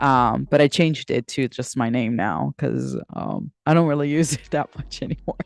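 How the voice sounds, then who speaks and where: A woman with a Spanish accent speaks at a moderate pace in a very deep, low voice with ordinary pitch variation. The sound is dry and close with no echo, against a quiet background. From United States, Dominican family. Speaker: livestreamer and writer. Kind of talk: casual livestream chat. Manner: halting, many fillers and restarts.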